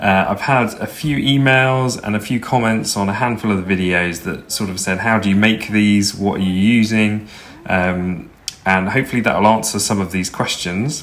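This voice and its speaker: Noticeable background noise behind a man's fairly low voice, with ordinary pitch variation. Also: moderate pace. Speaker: video editor / Eurovision channel creator. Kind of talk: screen-recorded software tutorial. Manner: casual, hesitant.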